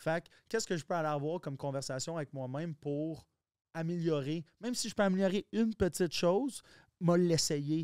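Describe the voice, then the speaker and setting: In a strong Quebec accent, a man with a high pitch speaks at a moderate pace with ordinary pitch variation, the sound dry with no echo and the background quiet. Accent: strong Québécois. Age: 30s. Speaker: entrepreneur; podcast guest. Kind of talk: casual chat. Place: studio. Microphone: studio mic.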